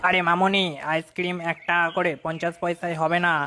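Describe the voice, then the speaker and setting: Putting on a character voice, a man speaks in a high, sing-song pitch at a fairly quick pace, with very even loudness and monotone, flat intonation. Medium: cartoon. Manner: sing-song hawking cries.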